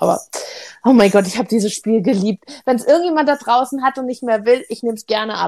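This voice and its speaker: This is a woman with a fairly high-pitched voice. She talks at a fairly quick pace. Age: 30s. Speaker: board game podcast co-host. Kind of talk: casual chat.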